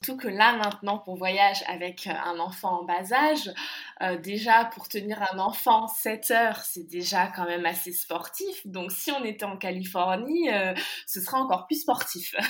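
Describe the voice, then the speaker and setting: Hers is an unremarkable speaking voice, a woman's, medium-pitched with ordinary pitch variation. She talks at a fairly slow pace, with big swings in loudness. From France. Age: 20s. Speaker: expatriate. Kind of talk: interview.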